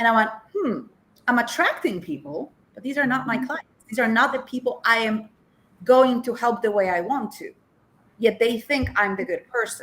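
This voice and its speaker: A woman with a Polish accent talks at a moderate pace and fairly high pitch, with lively intonation, big swings in loudness and long, frequent pauses. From Poland. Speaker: life coach. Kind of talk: interview. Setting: TV show.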